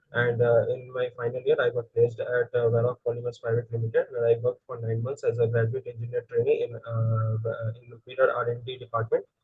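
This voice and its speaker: Speaking with a Bengali accent, a man keeps a fairly quick pace. His medium-pitched voice has a monotone, flat intonation. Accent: Indian English (Bengali). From India, West Bengal (Siliguri). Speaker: engineering student, interview candidate. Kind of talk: mock job interview. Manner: halting, many fillers; quiet.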